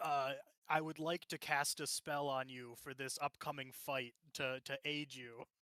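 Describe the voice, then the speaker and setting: In a put-on character voice, a man sounds strained at a fairly high pitch, speaking at a moderate pace with monotone, flat intonation in a dry, close sound with no echo. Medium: actual play. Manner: strained, through gritted teeth.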